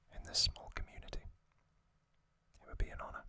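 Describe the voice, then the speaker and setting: Whispering at a fairly quick pace, the speaker keeps going. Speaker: ASMR youtuber. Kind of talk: ASMR whispered narration. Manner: soft-spoken.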